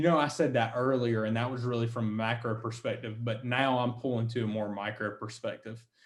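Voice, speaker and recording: A man with a plain, everyday voice, medium pitch, an American accent, fairly even intonation and a moderate pace. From US South, South Carolina. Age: 20s. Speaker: wealth management firm founder. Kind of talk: interview.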